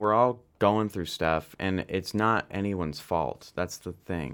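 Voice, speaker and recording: A normal speaking voice with a Canadian accent, at a moderate pace with ordinary pitch variation, over a quiet background. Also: man. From Canada (London, Ontario). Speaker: actor and artist. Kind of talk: casual interview chat.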